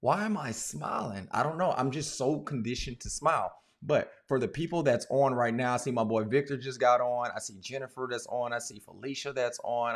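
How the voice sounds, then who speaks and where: The man talks at a moderate pace and medium pitch, with ordinary pitch variation. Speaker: podcast host and gym owner. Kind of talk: live-streamed podcast monologue. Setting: office. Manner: smiling, upbeat.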